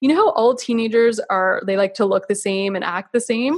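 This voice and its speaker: A woman with a Canadian accent, an unremarkable speaking voice, talks at a fairly quick pace and fairly high pitch with lively intonation. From Canada. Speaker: naturopathic physician. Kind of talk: interview on health.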